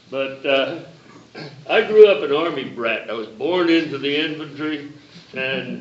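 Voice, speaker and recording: Audible room echo surrounds the man as he talks, along with noticeable background noise. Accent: American. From US South, South Carolina. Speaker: reunion attendee, former army brat. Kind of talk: reunion panel talk.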